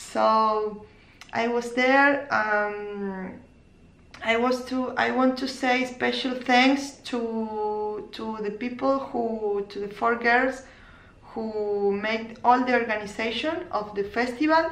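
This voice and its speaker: Speaking at a very slow pace with a non-native accent, a woman uses a fairly high pitch and ordinary pitch variation, with audible room echo. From Argentina, Córdoba. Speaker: knitting podcaster and crochet teacher. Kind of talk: casual vlog podcast. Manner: halting, many fillers and restarts.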